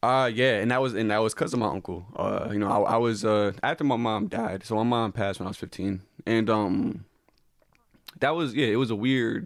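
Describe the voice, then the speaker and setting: His pace is fairly quick, and his pitch sits at a medium level. This man's pitch moves in an ordinary way. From Connecticut, US. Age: 20s. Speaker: comedian. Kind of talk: podcast interview about personal grief. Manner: halting, many repeated words and fillers.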